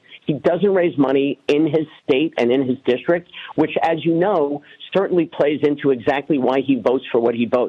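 In a New York accent, a man talks at a moderate pace with ordinary pitch variation. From New York City (Queens). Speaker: congressional candidate. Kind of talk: radio interview.

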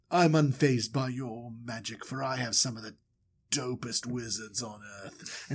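A put-on character voice at a moderate pace, its intonation fairly even. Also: man, medium pitch for a man. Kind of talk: comic storytelling impression. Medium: solo performance. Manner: cold, dismissive, haughty.

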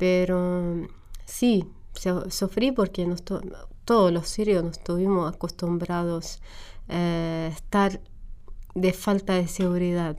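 A woman with an Arabic accent at a medium pitch, a dark, mellow tone and fairly even intonation, a very slow pace with long, frequent pauses. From Syria, Homs. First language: Arabic (speaking Spanish). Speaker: refugee. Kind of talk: interview. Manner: halting.

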